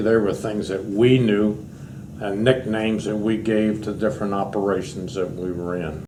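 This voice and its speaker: A man talks at a moderate pace with a fairly low pitch. His pitch variation is ordinary, and there is audible room echo. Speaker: war veteran. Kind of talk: oral history interview.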